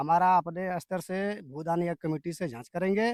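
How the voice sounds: The man's voice sits high in pitch, with ordinary pitch variation and a slightly mellow tone. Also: moderate pace, dry, close sound with no echo.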